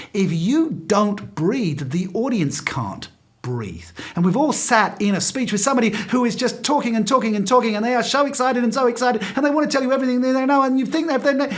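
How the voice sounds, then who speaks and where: An extremely high-pitched man at a very fast pace, with ordinary pitch variation, audible room echo and noticeable background noise. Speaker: professional speaker. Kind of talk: talk to speakers association over video call. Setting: video call. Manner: pauses periodically.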